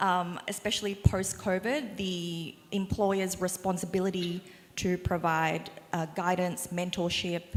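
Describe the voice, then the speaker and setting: A woman's medium-pitched, fairly slow voice in a monotone, flat intonation. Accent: Australian. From Australia. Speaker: small business owner on panel. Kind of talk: panel discussion.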